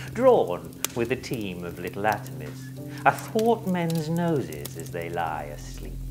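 A man speaks at medium pitch and a fairly slow pace. Loud music plays in the background. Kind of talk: Shakespearean stage speech. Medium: solo performance.

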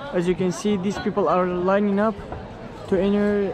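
A man speaks at a moderate pace in a high voice. The sound is dry with no echo, and background noise is noticeable. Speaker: travel vlogger. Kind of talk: casual vlog commentary. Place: open country. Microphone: phone near.

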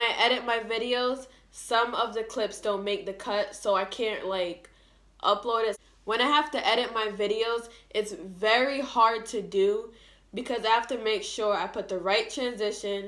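Over a quiet background, a woman talks at a moderate pace. Her intonation stays fairly even. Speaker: vlogger. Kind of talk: casual vlog chat. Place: home room. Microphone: phone near.

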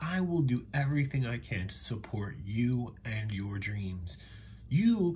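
Over light background noise, a man talks at a very slow pace in a dark, mellow, somewhat breathy tone with very wide pitch swings. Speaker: children's educational show host. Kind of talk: enthusiastic kids' show talk. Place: home room. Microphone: webcam.

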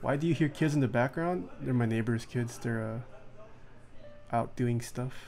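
A man speaks at a moderate pace. Music plays behind his voice. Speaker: streamer. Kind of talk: casual live stream chat. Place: home room.

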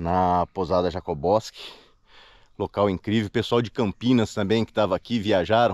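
A man's plain, everyday voice at a fairly low pitch and moderate pace, dry sound with no echo over a quiet background. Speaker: solo kayak expedition vlogger. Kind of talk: casual vlog chat. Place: waterside. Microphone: phone near.

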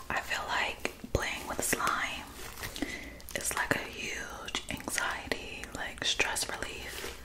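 Whispering at a very slow pace. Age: 20s. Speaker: ASMR creator. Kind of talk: casual talk to camera. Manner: soft-spoken. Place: home room.

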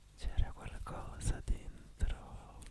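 Whispering at a very slow pace, a man speaks. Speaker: ASMR creator. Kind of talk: ASMR trigger video. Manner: whispered, soft-spoken, repeating words. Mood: calm, sleep-inducing. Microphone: studio mic.

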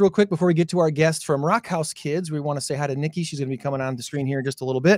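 A man talking at a very fast pace, dry sound with no echo, quiet background. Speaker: show host. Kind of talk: casual talk show chat. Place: studio. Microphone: studio mic.

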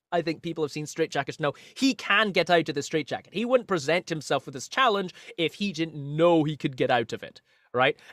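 Recorded very cleanly with a silent background and a dry, close sound with no echo, a man speaks in a high voice with lively intonation. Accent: Scottish. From Scotland. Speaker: magician and singer. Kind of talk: casual interview.

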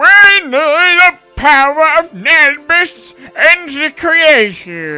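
A put-on character voice speaks at a high pitch and a very slow pace. Faint music plays in the background. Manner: bad, exaggerated voice.

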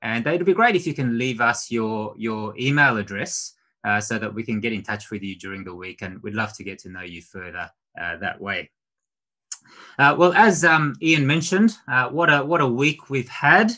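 The voice has a bright, sharp tone with very wide pitch swings and big swings in loudness over a quiet background. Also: man, moderate pace. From Australia. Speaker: preacher. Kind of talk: sermon. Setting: video call. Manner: halting. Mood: warm, gentle, conversational. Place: home room. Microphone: webcam.

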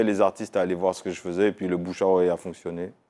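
A very deep, low male voice at a very fast pace, over a quiet background. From Martinique. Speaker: music video director. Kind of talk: interview. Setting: studio. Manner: hesitant. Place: studio. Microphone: lapel.

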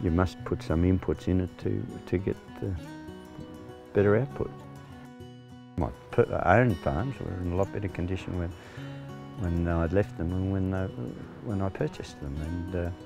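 A man's very deep, low voice with lively intonation at a moderate pace, with long, frequent pauses, dry sound with no echo, and clear music in the background. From Central West New South Wales, Australia. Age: 60s. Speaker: retired farmer, farm manager. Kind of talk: interview answer. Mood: calm, reflective.

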